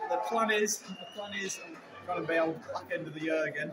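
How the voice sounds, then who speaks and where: Loud background noise runs beneath a man's speech. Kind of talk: interview answer. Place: hall.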